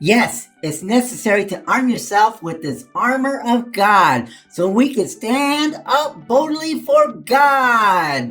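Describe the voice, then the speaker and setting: With faint music in the background, a man puts on a cartoonish character voice at an extremely high pitch and a fairly slow pace. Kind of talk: children's puppet show Bible lesson. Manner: enthusiastic.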